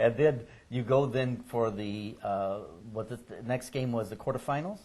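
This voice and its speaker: A man's voice has a dark, mellow tone and is somewhat breathy. Its loudness swings widely. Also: medium pitch for a man, ordinary pitch variation, moderate pace. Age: 60s. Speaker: oral history interviewer. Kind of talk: oral history interview.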